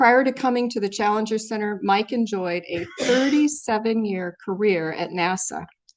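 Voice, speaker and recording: A woman's medium-pitched voice at a fairly slow pace with ordinary pitch variation. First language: not English. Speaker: event moderator introducing speaker; former space agency staff. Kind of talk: speaker introduction. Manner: informal, joking.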